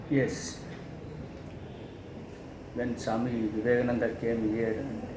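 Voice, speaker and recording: Over noticeable background noise, a man speaks at medium pitch in a flat monotone at a fairly slow pace, with long, frequent pauses. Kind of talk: interview answer.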